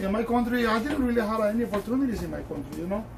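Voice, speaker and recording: Noticeable background noise and audible room echo accompany a speaker with a strong Honduran accent. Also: man. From Honduras. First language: Spanish. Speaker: shoe shiner. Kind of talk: tutorial with casual personal talk.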